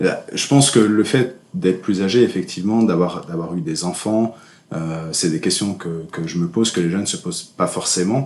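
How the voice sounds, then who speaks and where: Here is a man with a very deep, low pitch. His pitch variation is ordinary. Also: moderate pace. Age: 30s. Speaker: entrepreneur and association president. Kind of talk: casual interview. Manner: halting, many hesitations.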